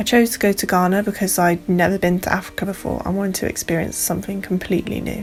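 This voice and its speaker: A woman with an English accent speaks very fast at a medium pitch, her intonation monotone and flat. Noticeable background noise runs underneath. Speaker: student midwife vlogger. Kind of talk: travel vlog. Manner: chatty.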